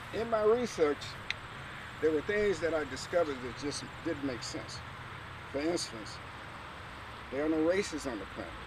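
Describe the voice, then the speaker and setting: Audible room echo and noticeable background noise surround a man whose fairly high pitch moves with lively intonation at a moderate pace. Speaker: artist and museum founder giving a tour. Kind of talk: walking tour talk. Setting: outdoors. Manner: soft-spoken.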